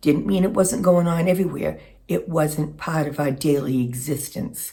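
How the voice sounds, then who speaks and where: A woman speaks in an American accent, somewhat breathy. Her tone is dark and mellow. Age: 60s. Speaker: lifestyle vlogger. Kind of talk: casual monologue. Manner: reflective, with some hesitations.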